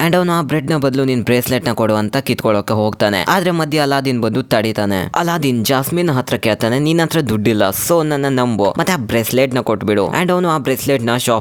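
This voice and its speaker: Noticeable background noise runs through the clip. A man talks over it at a medium pitch. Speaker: movie explainer narrator. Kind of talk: casual movie recap narration. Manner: joking, conversational.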